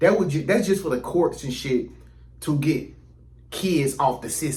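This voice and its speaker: A man speaks at a moderate pace with lively intonation and a somewhat breathy voice. Audible room echo surrounds his words. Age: 30s. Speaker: YouTuber. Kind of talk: casual vlog monologue. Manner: casual, conversational with many fillers.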